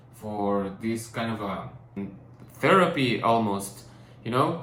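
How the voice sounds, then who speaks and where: A man of medium pitch speaks with a non-native accent, and room echo is audible. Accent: non-native English, rusty. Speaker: painter and vlogger. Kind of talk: personal vlog. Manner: halting, many fillers and restarts.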